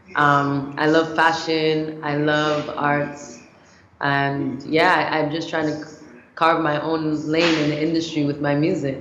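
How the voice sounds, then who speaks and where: The delivery is fairly slow and monotone, with audible room echo and noticeable background noise. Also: woman, very deep, low pitch for a woman. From Canada, raised there by Nigerian parents. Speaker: singer-songwriter and producer. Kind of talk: TV interview. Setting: TV studio.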